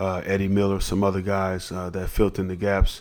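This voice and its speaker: A man with an American accent talks at a moderate pace in a fairly low, monotone, flat voice. The recording is very clean, with a silent background. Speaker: former basketball player. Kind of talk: casual interview. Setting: restaurant.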